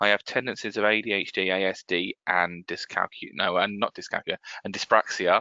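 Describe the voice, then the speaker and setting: With an English accent, a man speaks in a fairly low voice and fairly even intonation. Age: 30s. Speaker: accessibility consultant. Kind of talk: webinar presentation. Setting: office desk, online webinar. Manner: halting, with many fillers and restarts.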